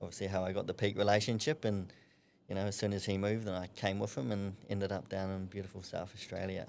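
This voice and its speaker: A man with a New Zealand accent talks at a very fast pace. His voice is fairly low, with fairly even intonation. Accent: New Zealand twang. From New Zealand, Napier. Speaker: amateur boxer. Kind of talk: podcast interview.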